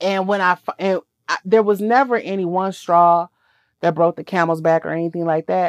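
Against a quiet background, a woman speaks at a fairly low pitch and a moderate pace with fairly even intonation, the sound dry and close with no echo. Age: 40s. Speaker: podcast co-host. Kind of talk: casual chat. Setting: studio, in person with co-host.

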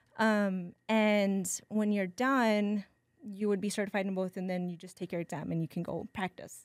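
On a very clean recording with a silent background, a woman with an unremarkable speaking voice speaks at a medium pitch and moderate pace with fairly even intonation. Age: 40s. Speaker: massage therapist and birth doula. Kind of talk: casual chat.

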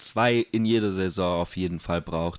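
A man is speaking. His pitch is very deep and low. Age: 20s. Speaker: skateboarder and office clerk. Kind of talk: casual chat. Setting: host's living room.

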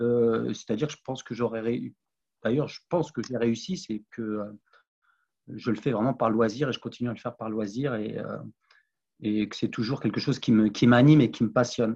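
At a moderate pace and with long, frequent pauses, a man speaks at a medium pitch in a dark, mellow tone. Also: fairly even intonation. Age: 40s. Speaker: sports coach and sophrologist. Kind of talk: podcast interview. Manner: halting, many repetitions.

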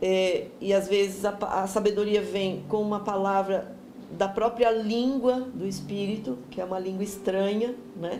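Amid audible room echo, a woman speaks at a medium pitch and fairly slow pace with fairly even intonation. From Brazil, São Paulo state (Jundiaí). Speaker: pastor. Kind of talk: bible teaching.

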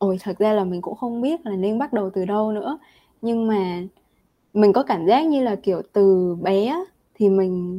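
A woman's dark, mellow voice at medium pitch, ordinary pitch variation and moderate pace, on a very clean recording with a silent background. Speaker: university student. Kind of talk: casual interview.

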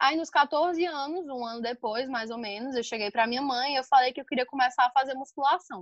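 A woman speaks in a high voice with ordinary pitch variation. Her pace is fairly quick. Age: 20s. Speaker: podcast guest, dancer and vegan. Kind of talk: casual interview.

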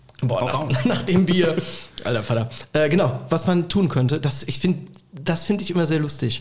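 A man at a fairly high pitch and moderate pace, with ordinary pitch variation and noticeable background noise. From Rhineland-Palatinate, Bad Kreuznach area. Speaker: comedian and university lecturer. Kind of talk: casual chat. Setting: remote call.

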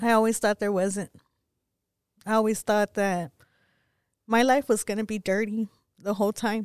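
An American accent in monotone, flat intonation at a moderate pace, with long, frequent pauses, dry, close sound with no echo, and a very clean recording with a silent background. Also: woman, fairly high pitch for a woman. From West Texas (Pecos). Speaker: guest sharing life story. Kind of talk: testimony.

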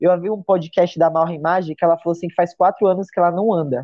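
A woman with a medium-pitched voice talks at a fairly quick pace. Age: 30s. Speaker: CrossFit athlete and coach. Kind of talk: casual interview chat. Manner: halting, many repetitions.

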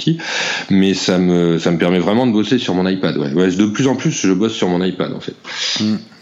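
Audible room echo and noticeable background noise fill the clip. The speaker uses ordinary pitch variation. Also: man. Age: 40s. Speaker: comic book illustrator. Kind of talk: casual interview. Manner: halting.

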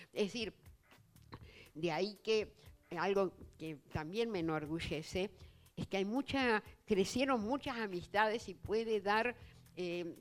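Over music in the background, a woman in a Rioplatense accent speaks at a very slow pace with long, frequent pauses. Her pitch is medium, with ordinary variation. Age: 80s+. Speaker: writer and writing teacher. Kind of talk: public literary talk.

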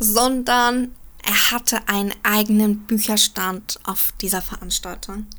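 A woman speaks with a bright, sharp tone. Her pitch is fairly high. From Germany, Frankfurt. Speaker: journalist commentator. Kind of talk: opinion commentary.

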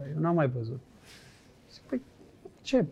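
A man talks in a dark, mellow tone. His pitch varies in an ordinary way. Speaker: former footballer and businessman. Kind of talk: casual interview chat.

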